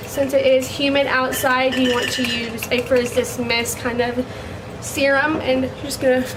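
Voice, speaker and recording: With an American accent and monotone, flat intonation, the speaker goes at a moderate pace amid noticeable background noise and audible room echo. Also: woman, high pitch for a woman. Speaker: beauty vlogger, cosmetology student. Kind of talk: tutorial. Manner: casual, filler words.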